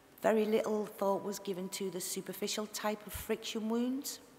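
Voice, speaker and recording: A woman speaks with a Liverpool accent and fairly even intonation. Light background noise sits behind her. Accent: Scouse (Liverpool). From Liverpool area. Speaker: tissue viability nurse giving a conference talk. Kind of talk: conference talk. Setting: stage, presentation to an audience. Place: hall. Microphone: headset.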